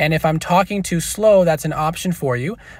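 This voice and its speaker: The recording is very clean, with a silent background. A man talks at a fairly quick pace in a fairly high pitch, with ordinary pitch variation. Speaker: gaming YouTuber. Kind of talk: tutorial. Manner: fast-talking.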